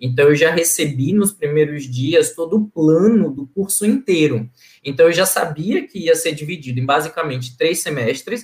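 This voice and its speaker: An unremarkable speaking voice moves at a moderate pace with hardly any pauses. Its pitch variation is ordinary. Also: man, fairly high pitch for a man. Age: 30s. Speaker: NGO governance analyst, former scholarship student. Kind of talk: casual interview.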